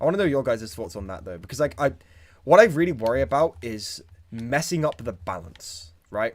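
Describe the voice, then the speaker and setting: Speaking with a British accent at a fairly quick pace, a man with a medium pitch and vocal fry makes very wide pitch swings and big swings in loudness. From Britain. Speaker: YouTuber. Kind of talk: live stream chat. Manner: halting.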